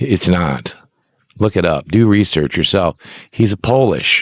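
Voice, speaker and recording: A man talks at a moderate pace in an animated tone. His intonation is lively. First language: Icelandic. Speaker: minister and religion presenter. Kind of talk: rant. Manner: halting.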